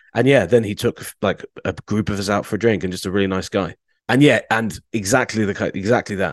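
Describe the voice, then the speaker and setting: A man's ordinary speaking voice, fairly low in pitch with ordinary pitch variation, at a fairly quick pace, dry and close with no echo over a quiet background. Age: 30s. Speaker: sports journalist. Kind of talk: casual chat.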